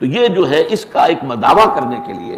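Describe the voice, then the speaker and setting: Noticeable background noise runs under the recording. A man speaks with very wide pitch swings. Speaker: Islamic scholar giving a lecture. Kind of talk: religious lecture (bayan).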